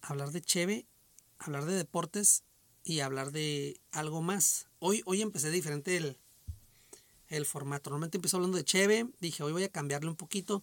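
A man talks at a moderate pace, his pitch fairly high with ordinary variation. The sound is dry and close, with no echo. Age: 40s. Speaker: podcast host. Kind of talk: casual solo monologue. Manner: hesitant, many repetitions and fillers. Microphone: echo on the microphone.

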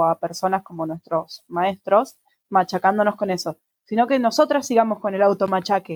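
A woman speaks in an unremarkable speaking voice, her intonation lively and her pace fairly quick. The sound is dry and close, with no echo. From Argentina. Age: 20s. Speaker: podcast co-host. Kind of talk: casual chat.

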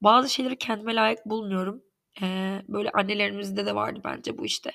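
Vocal fry colors this woman's medium-pitched voice as she talks at a fairly quick pace. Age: 30s. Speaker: podcast host. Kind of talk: personal monologue. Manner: halting, many fillers.

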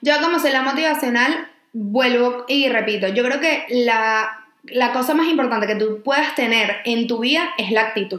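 Over noticeable background noise, a woman with a high pitch speaks at a moderate pace, her loudness very even and her pitch variation ordinary. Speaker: podcast co-host. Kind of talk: casual chat.

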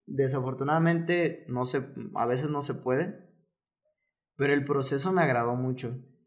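Audible room echo colors this recording of a man. He speaks at a fairly slow pace with ordinary pitch variation. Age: 20s. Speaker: fitness coach and physiotherapist. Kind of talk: casual interview chat.

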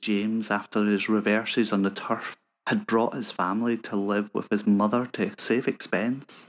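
A man speaks at a moderate pace in a fairly low, dramatic voice. The recording is very clean, with a silent background. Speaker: podcast host and story reader. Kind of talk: literary audiobook reading of a short story, steady and measured; podcast intro and outro. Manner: measured, dramatic storyteller pacing with tender, sly emphasis.

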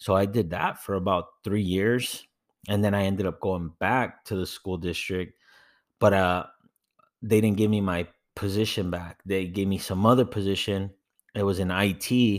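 A man with an American accent speaks at a moderate pace and a fairly low pitch. The intonation is fairly even, and the recording is very clean with a silent background. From Inland Empire, Southern California. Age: 20s. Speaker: podcast co-host, army veteran. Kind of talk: casual chat.

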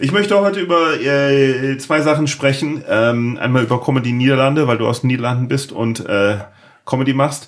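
Against noticeable background noise, a man with a fairly high pitch and ordinary pitch variation talks at a moderate pace. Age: 40s. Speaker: podcast host. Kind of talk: casual interview chat. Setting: home office.

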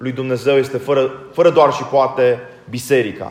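Over noticeable background noise, a man with a fairly high pitch speaks in a monotone, flat intonation. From Romania. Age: 40s. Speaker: Orthodox priest. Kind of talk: sermon.

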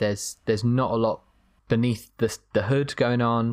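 Here a man speaks at a medium pitch and a moderate pace in an unremarkable speaking voice. The recording is very clean with a silent background. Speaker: film podcast co-host. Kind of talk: casual chat.

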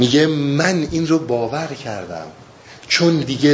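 Noticeable background noise and audible room echo accompany speech delivered at a fairly slow pace. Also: man. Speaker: Sufi teacher explaining Rumi. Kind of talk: lecture. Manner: halting.

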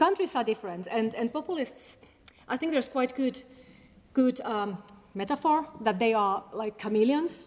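A woman with a Finnish accent speaks at a high pitch. Her pace is moderate and her intonation lively. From Finland. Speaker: academic researcher on populism. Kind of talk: public talk; audience Q&A. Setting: stage with audience. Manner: halting.

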